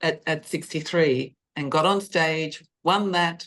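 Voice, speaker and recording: A woman talks in an unremarkable speaking voice with ordinary pitch variation. The background is quiet. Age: 60s. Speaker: senior bodybuilding competitor. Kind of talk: interview, personal story.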